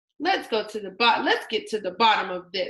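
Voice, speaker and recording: In a put-on character voice, a woman growls at a fairly high pitch, moving at a moderate pace with lively intonation. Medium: read story. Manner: growling.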